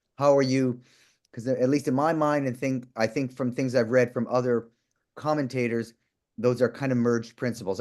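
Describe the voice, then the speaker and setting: A man with a medium-pitched voice talks at a fairly quick pace. His intonation stays fairly even, with a quiet background. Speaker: moderator of online law class panel. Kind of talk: moderated panel discussion. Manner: fast.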